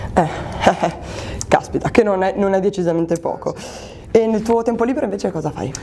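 A woman talks at a fairly quick pace, with long, frequent pauses and ordinary pitch variation. Light background noise sits under her voice. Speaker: interviewer for a local show. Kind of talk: casual interview. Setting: sports club locker room. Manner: playful, joking. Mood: friendly, playful. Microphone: lapel.

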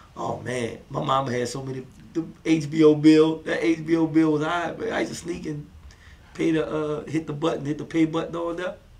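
A man's fairly high voice with a New Orleans accent and fairly even intonation. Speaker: comedian. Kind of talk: casual interview. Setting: studio, seated with host.

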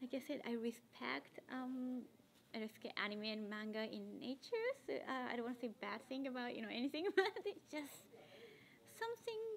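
With a Japanese accent and lively intonation, a woman speaks at a high pitch over light background noise. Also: moderate pace. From Tokyo, Japan. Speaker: cosplayer. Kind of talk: interview answer. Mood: friendly, smiling, relaxed. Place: meeting room.

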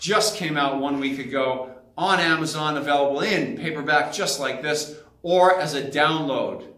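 A man speaks with ordinary pitch variation. Room echo is audible. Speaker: fitness trainer. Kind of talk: casual vlog tour. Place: gym. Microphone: phone near.

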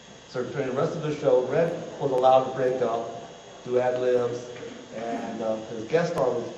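A man at a moderate pace with ordinary pitch variation, light background noise and audible room echo. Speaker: lecturer. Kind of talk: lecture. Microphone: camera far.

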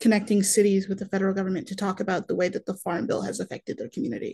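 Breathy to a degree, a woman speaks in a dark, mellow tone against a quiet background. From northern Wisconsin suburbs. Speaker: university student and food pantry organizer; webinar panelist. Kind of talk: webinar panel discussion. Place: home room.

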